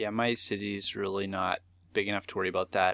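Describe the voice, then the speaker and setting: Man with a Canadian accent, fairly low pitch, bright, sharp tone, very fast pace, very clean recording with a silent background. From southern Manitoba, Canada. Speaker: retro gaming podcast co-host. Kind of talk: casual chat.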